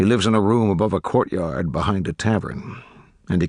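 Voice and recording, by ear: The words are read aloud in a natural voice.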